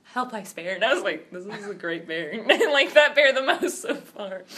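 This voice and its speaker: In an animated tone, a woman speaks with very wide pitch swings. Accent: American. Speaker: podcast co-host. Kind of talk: casual chat. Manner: animated storytelling.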